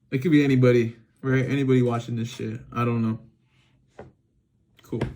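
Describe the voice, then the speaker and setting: Speaking at a fairly quick pace, a man holds a medium pitch with monotone, flat intonation. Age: 20s. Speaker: vlogger, car wash worker. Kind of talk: casual unscripted monologue. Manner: halting, lots of filler and restarts.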